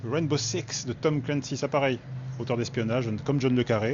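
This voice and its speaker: A man at a moderate pace, medium pitch, fairly even intonation and a slight Toulouse accent. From southern France, Toulouse. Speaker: book video host. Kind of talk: casual book browsing commentary.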